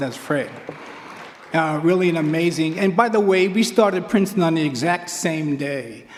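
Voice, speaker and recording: Crowd noise fills the background as a man with an American accent speaks at a moderate pace. His pitch is fairly high, with ordinary pitch variation. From Queens, New York. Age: 70s. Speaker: track coach. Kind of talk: acceptance speech.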